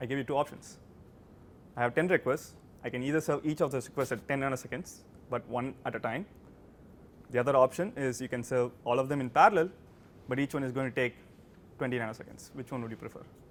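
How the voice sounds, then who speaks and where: A man with a non-native accent speaks at a very fast pace and medium pitch, with ordinary pitch variation and long, frequent pauses. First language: not English. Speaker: guest lecturer. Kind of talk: university lecture. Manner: halting, many repeated words.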